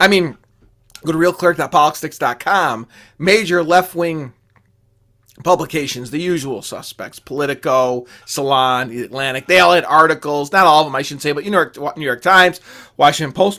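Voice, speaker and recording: In a very clean recording with a silent background, a man with a fairly high pitch sounds animated at a moderate pace, showing ordinary pitch variation and big swings in loudness. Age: 40s. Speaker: political podcast host. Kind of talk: opinion monologue.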